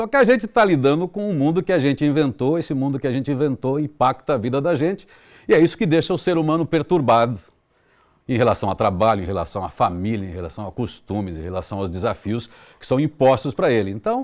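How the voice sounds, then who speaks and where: Against a quiet background, a man races along at a very fast pace with medium pitch and very wide pitch swings. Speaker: radio announcer. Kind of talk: interview answer.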